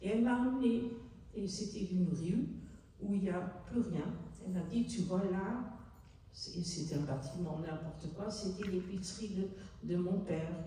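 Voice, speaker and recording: Speaking at a fairly slow pace with long, frequent pauses, a woman of medium pitch uses ordinary pitch variation in a Dutch accent, with audible room echo. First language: Dutch (speaking French). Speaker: author, Holocaust witness. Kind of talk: public book talk. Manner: halting.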